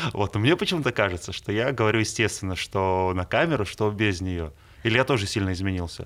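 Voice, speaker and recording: A man's fairly low-pitched voice at a very fast pace, with ordinary pitch variation. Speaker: radio host. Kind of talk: interview.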